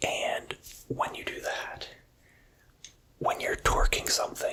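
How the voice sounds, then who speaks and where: Very slowly, a whispering voice comes through noticeable background noise. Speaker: ASMR content creator. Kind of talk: ASMR show-and-tell talk to camera. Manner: whispered.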